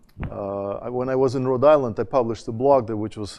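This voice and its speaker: Talking at a very fast pace, a man with a Russian accent uses a medium pitch and ordinary pitch variation. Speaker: education dean, conference panelist. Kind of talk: conference talk. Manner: hesitant, many fillers and restarts.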